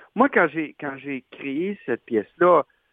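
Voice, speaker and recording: A man with a Quebec accent and ordinary pitch variation. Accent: Québécois French. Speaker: actor and playwright. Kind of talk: interview.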